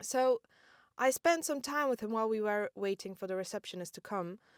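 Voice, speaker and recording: A woman speaks with an ordinary speaking voice at a medium pitch and a fairly quick pace. Her intonation is lively, and the sound is dry and close with no echo. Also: very clean recording, silent background. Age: 20s. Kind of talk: casual storytelling podcast. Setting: inside parked car.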